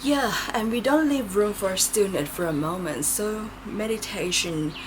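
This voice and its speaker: Through noticeable background noise and audible room echo, a woman with a medium pitch speaks at a fairly slow pace with lively intonation. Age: 40s. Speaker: tarot reader. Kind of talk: pick-a-card tarot reading. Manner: casual and chatty.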